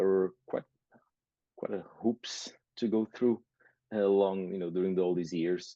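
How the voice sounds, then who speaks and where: A man with a Portuguese accent has a very deep, low pitch and a dark, mellow tone. His intonation is fairly even, and the sound is dry and close with no echo. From Portugal. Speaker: nurse and business owner. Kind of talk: interview. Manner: halting, many fillers.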